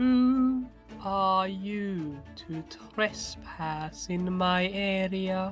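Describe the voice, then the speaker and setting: A female-sounding voice puts on a character voice at a medium pitch, speaking at a very slow pace. Clear music plays in the background. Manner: menacing, accusing.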